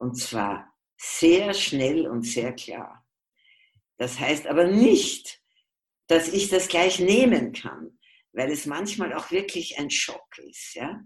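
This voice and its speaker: A woman's very slow, fairly low-pitched speech with long, frequent pauses, very wide pitch swings and big swings in loudness. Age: old. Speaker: physician and family constellation therapist. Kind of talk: interview.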